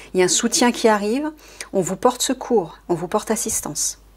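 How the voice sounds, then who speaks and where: Somewhat breathy, the woman's fairly high voice carries lively intonation. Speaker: card reader and spiritual advisor. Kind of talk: tarot-style card reading. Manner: fast.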